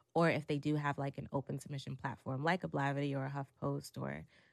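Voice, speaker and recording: A woman talks very fast at a very deep, low pitch, with vocal fry. Her intonation is monotone and flat, over a quiet background. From Brooklyn, New York. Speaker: music journalist. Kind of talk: casual interview.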